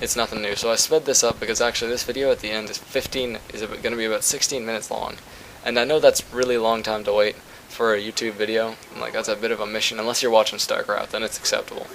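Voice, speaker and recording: Over noticeable background noise, a man talks very fast at a medium pitch with monotone, flat intonation. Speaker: gaming YouTuber. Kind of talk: gameplay commentary. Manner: casual, rambling with fillers.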